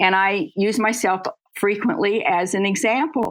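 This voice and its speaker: The recording is very clean, and the background is silent. At a fairly slow pace, a woman talks with ordinary pitch variation. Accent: Midwestern US. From US Midwest, Kansas City. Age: 80s+. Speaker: lecturer on brain health and aging. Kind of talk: interview.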